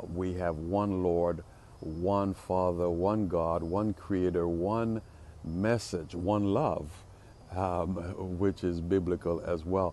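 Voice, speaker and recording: Recorded dry with no echo, a man speaks very slowly in a dark, mellow tone, his very deep, low voice kept to fairly even intonation. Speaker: pastor. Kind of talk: short devotional sermon. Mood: warm, encouraging. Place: street. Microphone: earbuds.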